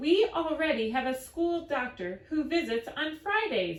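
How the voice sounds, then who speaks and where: A woman puts on a character voice, high in pitch with very wide swings up and down, talking at a moderate pace. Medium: read story.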